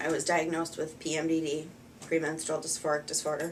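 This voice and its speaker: A woman with an American accent speaks at a fairly low pitch and a moderate pace, her intonation monotone and flat. Room echo is audible. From US Midwest, Wisconsin. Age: 30s. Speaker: patient. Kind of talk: testimony. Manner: halting, many fillers.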